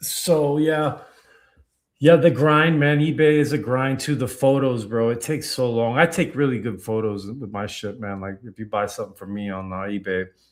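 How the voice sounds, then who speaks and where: In an American accent, the speaker talks at a moderate pace with lively intonation and big swings in loudness, on a very clean recording with a silent background. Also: man, medium pitch for a man. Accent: Tampa accent often mistaken for New York. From Tampa, Florida. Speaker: card collecting podcast co-host. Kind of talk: casual live-stream chat. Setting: live stream. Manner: halting, repeats words.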